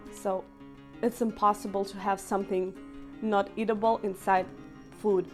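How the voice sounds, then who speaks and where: With music playing in the background, a woman with a Russian accent speaks at a fairly slow pace in a medium pitch. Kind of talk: casual talk to camera. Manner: talkative.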